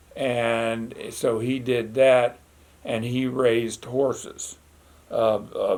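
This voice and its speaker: With an American accent, a man talks at a very slow pace in a medium-pitched, monotone, flat delivery. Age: 70s. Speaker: retired farmer and teacher. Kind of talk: oral history interview. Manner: halting, with frequent fillers.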